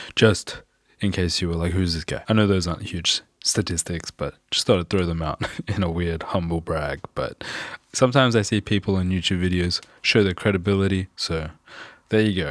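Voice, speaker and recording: Very deep, low-pitched male speech with an Australian accent, moderate in pace and fairly even in intonation, in a dry, close sound with no echo. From Australia, Perth. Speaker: music producer and mixing engineer. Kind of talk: tutorial. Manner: casual.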